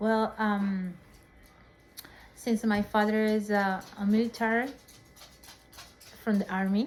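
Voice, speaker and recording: A woman's very slow, monotone, flat delivery with music in the background. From northern Peru, Chiclayo. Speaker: interviewee, family member. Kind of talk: casual interview. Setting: at home. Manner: halting.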